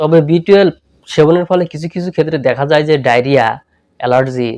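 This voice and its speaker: A man with an ordinary speaking voice, fairly high in pitch, with ordinary pitch variation. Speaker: health YouTuber. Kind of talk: channel promo; tutorial.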